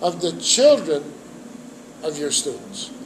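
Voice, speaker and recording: A man speaks at a very slow pace. Noticeable background noise is present. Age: 70s. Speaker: trumpet teacher and jazz musician. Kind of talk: interview.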